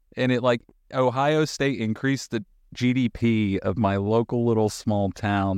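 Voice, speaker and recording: Against a quiet background, a man with an American accent uses a plain, everyday voice at a medium pitch with ordinary pitch variation, the sound dry and close with no echo. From North Carolina (Appalachian mountains). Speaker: podcast host and contractor. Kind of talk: casual chat.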